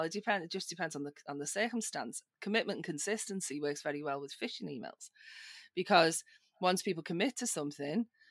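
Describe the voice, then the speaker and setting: Spoken with a Liverpool accent, the voice moves at a fairly quick pace with lively intonation. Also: woman. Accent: British, Liverpool. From northern England, Liverpool. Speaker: social engineer, security tester. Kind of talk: podcast interview.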